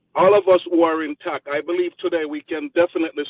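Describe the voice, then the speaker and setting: The intonation is fairly even. The speaker has a Jamaican accent. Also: man. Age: 50s. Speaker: community member giving a speech. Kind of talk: motivational speech.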